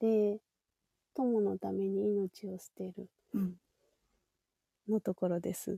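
Very slowly and with long, frequent pauses, a woman speaks in big swings of loudness, the sound dry and close with no echo. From Japan. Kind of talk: personal testimony.

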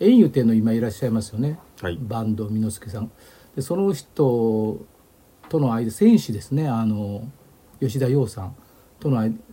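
A man with a dark, mellow, somewhat breathy voice speaks at a moderate pace, leaving long, frequent pauses. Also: medium pitch for a man, ordinary pitch variation. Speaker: historian. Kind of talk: casual lecture-style chat.

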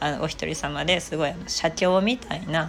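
A woman with a fairly low voice and vocal fry speaks at a moderate pace with ordinary pitch variation. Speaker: aromatherapist and online shop owner. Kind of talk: solo talk channel, casual chatter. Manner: humorous, chatty.

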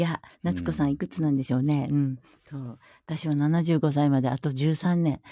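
The voice has a dark, mellow tone and moves at a fairly quick pace. The recording is very clean, with a silent background. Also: woman, very deep, low pitch for a woman, ordinary pitch variation. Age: 60s. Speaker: hairdresser and washi paper artist. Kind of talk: casual chat. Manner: animated, frequent laughter.

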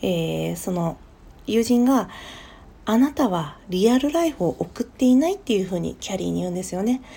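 With a dark, mellow, somewhat breathy tone, a woman speaks at a moderate pace using very wide pitch swings. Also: medium pitch for a woman. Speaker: podcast host. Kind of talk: solo talk. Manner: casual, many fillers.

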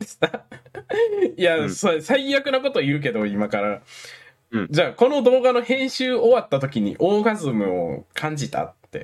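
Speaking at a moderate pace, a man's voice shows big swings in loudness. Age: 20s. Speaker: podcast host. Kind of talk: casual chat.

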